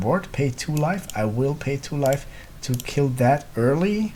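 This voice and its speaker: Noticeable background noise sits behind a man with a non-native accent and ordinary pitch variation. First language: not English. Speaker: gaming content creator. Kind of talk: gameplay commentary. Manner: thinking aloud, hesitant.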